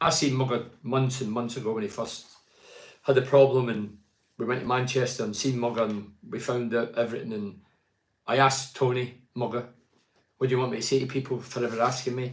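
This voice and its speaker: In a Scottish accent, the speaker talks at a fairly quick pace with monotone, flat intonation. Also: man, medium pitch for a man. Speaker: football pundit. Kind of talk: live stream commentary. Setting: live stream. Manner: loud.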